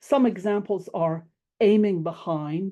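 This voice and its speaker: A woman with an American accent, a dark, mellow tone and ordinary pitch variation, against a quiet background. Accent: American, strong rhotic R. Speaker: classics professor. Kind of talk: lecture. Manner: formal.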